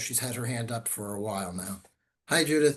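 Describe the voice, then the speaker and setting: With ordinary pitch variation, a man talks at a moderate pace in a medium-pitched, somewhat breathy voice. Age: 60s. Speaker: attorney presenting webinar. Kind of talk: webinar Q&A.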